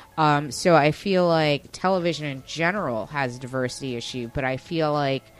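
With music in the background, a woman with an American accent talks in a very deep, low pitch with ordinary pitch variation and hardly any pauses. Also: moderate pace. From New York, Westchester. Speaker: podcast host. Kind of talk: casual chat.

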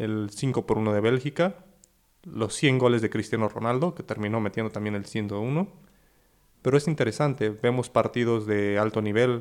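Moving at a moderate pace, a man with a plain, everyday voice speaks at medium pitch with ordinary pitch variation. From Mexico. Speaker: football podcast co-host. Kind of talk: casual chat.

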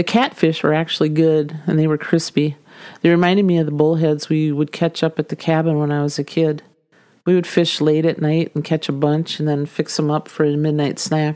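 Speaking at a fairly quick pace in a slight Minnesota accent, the voice has a dark, mellow tone and monotone, flat intonation, on a very clean recording with a silent background. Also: woman, very deep, low pitch for a woman. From US Minnesota. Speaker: podcast host. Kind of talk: casual storytelling.

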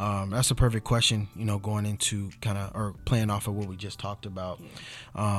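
Using an ordinary speaking voice with an American accent, a man talks at a moderate pace and a fairly low pitch, recorded very cleanly against a silent background. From US West Coast, Inglewood, California. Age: 20s. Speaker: life insurance and annuity specialist. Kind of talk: casual interview. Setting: studio.

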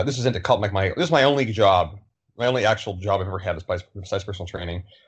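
A somewhat breathy man's voice, fairly low in pitch, with ordinary pitch variation. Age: 30s. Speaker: fitness trainer and social media commentator. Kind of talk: casual chat.

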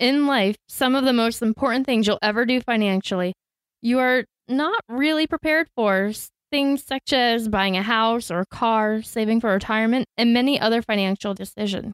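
An unremarkable speaking voice from a woman with an American accent, at a fairly high pitch and moderate pace, with ordinary pitch variation and very even loudness, in a dry, close sound with no echo on a very clean recording with a silent background. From Florida, US. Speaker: podcast co-host, trained teacher. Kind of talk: scripted podcast introduction.

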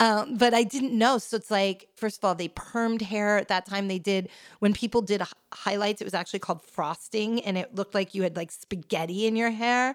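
A woman with an American accent talks at a fairly quick pace in a medium pitch. The recording is very clean, with a silent background. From New York suburbs. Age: 40s. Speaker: tech founder, writer and podcaster. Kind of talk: casual chat. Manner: animated.

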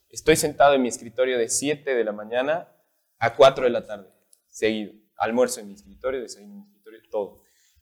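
Using a plain, everyday voice, a man speaks at medium pitch and a fairly quick pace. His intonation stays fairly even while his loudness swings widely. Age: 20s. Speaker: singer and architecture student. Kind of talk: casual interview.

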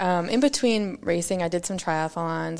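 A woman's normal speaking voice, fairly low in pitch, with ordinary pitch variation, an American accent and a moderate pace. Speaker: mountain bike racer. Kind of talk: casual chat.

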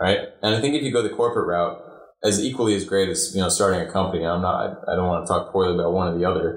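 A man with an American accent speaks at a very fast pace, with a fairly low pitch and ordinary pitch variation. His voice is somewhat breathy. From mixed upbringing: Ireland, Chicago, Germany, Singapore. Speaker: student club president. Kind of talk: podcast interview.

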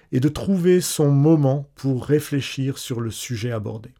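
In a very clean recording with a silent background, a man with a dark, mellow tone talks at a fairly slow pace and ordinary pitch variation. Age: 40s. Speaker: life coach. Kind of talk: scripted narration.

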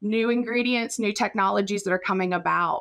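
A woman with an American accent and a plain, everyday voice, fairly high in pitch with ordinary pitch variation, on a very clean recording with a silent background. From West Virginia, Raleigh County. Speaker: professor and podcast co-host. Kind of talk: casual chat.

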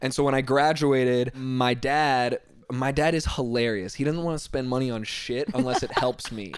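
With an American accent, a man of medium pitch talks at a moderate pace in a fairly even intonation over noticeable background noise. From Northern Virginia. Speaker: fashion designer. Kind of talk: casual chat.

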